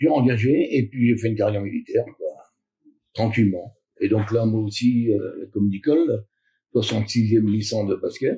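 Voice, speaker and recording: A somewhat breathy man at medium pitch, moving at a moderate pace with long, frequent pauses. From Normandy, Cotentin. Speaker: retired soldier and basketball club founder. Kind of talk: interview. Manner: hesitant, casual.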